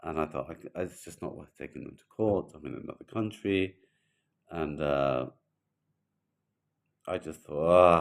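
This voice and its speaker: Speaking at a fairly slow pace with long, frequent pauses, a man uses a very deep, low pitch, ordinary pitch variation and big swings in loudness. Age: 60s. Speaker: brokerage owner. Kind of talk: casual talking-head video. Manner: halting, repetitive.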